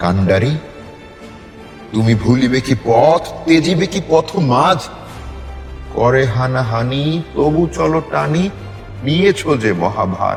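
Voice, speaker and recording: Music in the background behind a man with medium pitch and very wide pitch swings. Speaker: poetry reciter. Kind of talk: poetry reading. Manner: forceful, declamatory.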